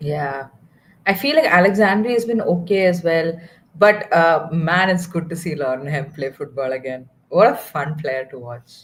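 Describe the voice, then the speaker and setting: With a Tamil accent, a woman speaks at a moderate pace in a fairly low pitch, using lively intonation and big swings in loudness. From southern India (Kerala). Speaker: football watchalong co-host. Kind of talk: casual chat.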